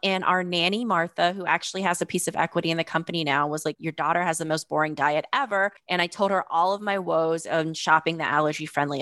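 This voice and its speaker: A woman with an American accent talks fairly quickly with hardly any pauses, in a plain, everyday voice. Her pitch is fairly low, her intonation fairly even, and the sound is dry and close with no echo. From US South, North Carolina. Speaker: food company founder. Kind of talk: interview.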